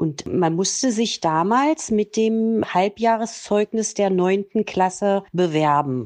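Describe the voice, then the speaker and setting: A woman at a medium pitch and very slow pace, with lively intonation, hardly any pauses and very even loudness. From East Germany, Saxony-Anhalt (Quedlinburg). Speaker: interviewee, mother of the host. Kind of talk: personal life story interview.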